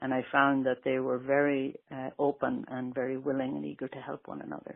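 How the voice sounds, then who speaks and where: A woman speaks with an American accent at a fairly quick pace. Her loudness swings widely. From Ireland, County Westmeath. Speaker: Irish immigrant interviewee. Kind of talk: interview.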